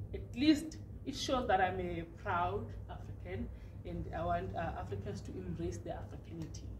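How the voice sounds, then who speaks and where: Noticeable background noise sits behind a woman with a Zimbabwean accent. She keeps a moderate pace. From Plumtree, Matabeleland South, Zimbabwe. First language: Ndebele. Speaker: poet and author. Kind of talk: interview answer. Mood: proud, animated. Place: studio.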